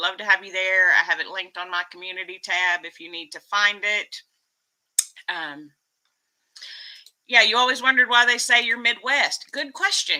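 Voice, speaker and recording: A woman with an American accent, medium pitch, lively intonation and a bright, sharp tone, at a moderate pace, with big swings in loudness and long, frequent pauses. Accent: Texas accent, commented on a lot. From Texas. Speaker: YouTube vlogger. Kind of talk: casual live stream chat. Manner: animated.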